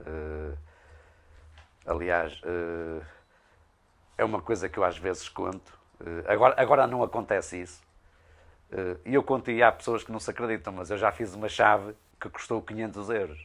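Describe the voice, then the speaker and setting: Long, frequent pauses and big swings in loudness mark this man's fairly low-pitched speech, which has ordinary pitch variation. The recording is very clean, with a silent background. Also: moderate pace. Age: 60s. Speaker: blacksmith craftsman. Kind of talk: interview. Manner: halting, many hesitations.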